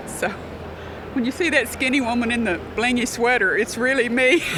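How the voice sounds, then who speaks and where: A woman with a Southern US accent, fairly high-pitched and fairly quick, amid noticeable background noise and audible room echo. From US South, northeast Arkansas. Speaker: gospel songwriter. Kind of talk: interview. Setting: convention venue.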